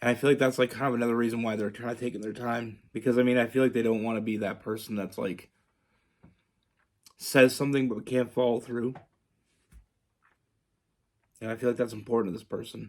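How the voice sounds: A man's put-on character voice, raspy and hoarse, at medium pitch with monotone, flat intonation, a very fast pace and long, frequent pauses.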